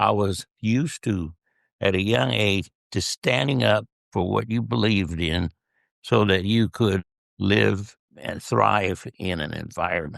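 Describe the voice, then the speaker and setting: A man speaks at a fairly slow pace and a fairly low pitch, with vocal fry. The sound is dry and close with no echo, against a quiet background. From US Southwest, southern California (El Centro). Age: 80s+. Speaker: retired-age dentist, guest interviewed by his daughter. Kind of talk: interview, personal life story. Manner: conversational, reflective storytelling.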